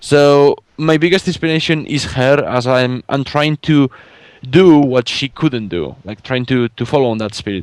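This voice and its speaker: In a Spanish accent, a man with a fairly high pitch talks at a moderate pace with ordinary pitch variation, in a dry, close sound with no echo. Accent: Spanish accent, rolled R's. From Spain. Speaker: fan artist and podcast guest. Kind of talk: casual chat interview. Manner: halting, many fillers and repeats.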